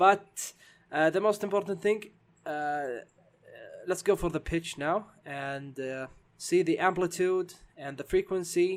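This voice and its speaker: A man with a high pitch and a non-native accent, speaking at a fairly slow pace with long, frequent pauses and ordinary pitch variation, on a very clean recording with a silent background. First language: not English. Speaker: game development tutorial maker. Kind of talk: tutorial. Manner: halting, many fillers.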